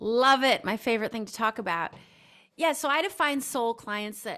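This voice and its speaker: With an ordinary speaking voice, a woman speaks at a fairly high pitch and with lively intonation. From US Midwest. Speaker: intuitive coach. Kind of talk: podcast interview.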